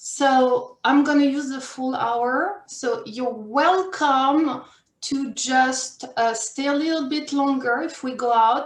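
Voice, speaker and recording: A woman with a French accent, her pitch high, her pitch variation ordinary, her pace very slow, with audible room echo. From France or French-speaking region. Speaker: career and life coach. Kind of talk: workshop presentation.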